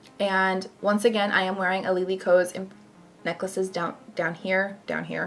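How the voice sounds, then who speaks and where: Over music in the background, a woman speaks at a medium pitch with monotone, flat intonation. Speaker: makeup youtuber. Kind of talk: makeup tutorial. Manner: fast.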